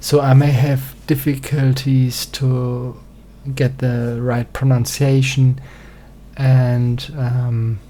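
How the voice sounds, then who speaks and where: Speaking very slowly with a German accent, a man has a medium pitch, a dark, mellow tone, a somewhat breathy quality and monotone, flat intonation. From German-speaking country. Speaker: singer-songwriter presenting music theory. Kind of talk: reading aloud a presentation. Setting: small home studio. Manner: halting, many fillers.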